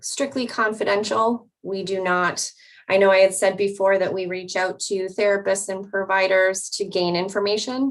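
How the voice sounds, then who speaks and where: This is a plain, everyday voice moving at a fairly slow pace with fairly even intonation. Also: woman. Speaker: mobile crisis clinician. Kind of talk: panel presentation.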